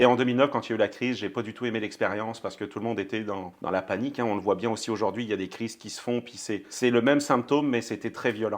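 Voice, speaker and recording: A man talks at a very fast clip with fairly even intonation. His loudness swings widely from moment to moment. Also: medium pitch for a man. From France. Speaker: banking company executive. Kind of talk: podcast interview. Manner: hesitant, many fillers.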